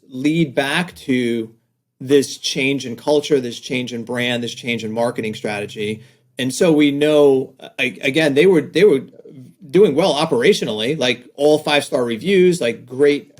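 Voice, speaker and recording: This man speaks with a slight New York accent at a fairly slow pace. His pitch sits fairly high. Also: ordinary pitch variation. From New York, Staten Island. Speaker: design agency owner, author. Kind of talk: podcast interview. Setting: video call.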